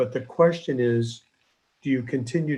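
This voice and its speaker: A man with an American accent speaks at a moderate pace in a dark, mellow, somewhat breathy tone. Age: 60s. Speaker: neurosurgeon. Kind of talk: lecture.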